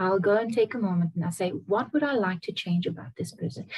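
The voice is somewhat breathy, moving at a moderate pace over a quiet background. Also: woman. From Namibia. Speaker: singer-songwriter; guest. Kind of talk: interview answer. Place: home room. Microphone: video call.

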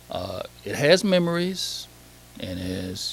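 Noticeable background noise and audible room echo fill the clip. A man speaks at a very slow pace. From Saginaw, Michigan. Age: 60s. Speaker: public commenter at council meeting. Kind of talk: public comment. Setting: council meeting hall. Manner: halting, many fillers.

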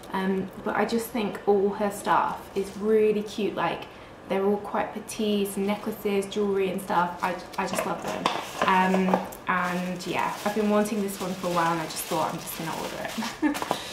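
Someone talks at a moderate pace over loud background noise. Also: woman. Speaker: vlogger. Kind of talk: casual vlog chat. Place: home room.

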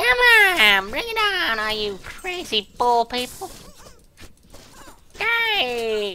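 A put-on character voice, fairly high in pitch, at a very slow pace with long, frequent pauses. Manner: defiant, shouting.

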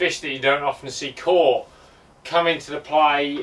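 A man's speech moves at a moderate pace. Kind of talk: casual recounting to an off-camera interviewer. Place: garage. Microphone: camera far.

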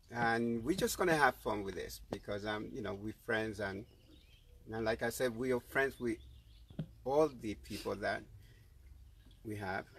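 A man at a moderate pace with ordinary pitch variation, long and frequent pauses, a dry sound with no echo, and light background noise. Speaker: livestream host. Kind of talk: casual chat. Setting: live video stream. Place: garden.

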